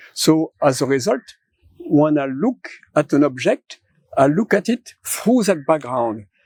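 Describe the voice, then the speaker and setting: A man with a fairly high pitch speaks at a fairly slow pace with very wide pitch swings, in a dry, close sound with no echo. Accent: French. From France. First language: French. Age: 70s. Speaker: philosopher. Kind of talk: interview conversation.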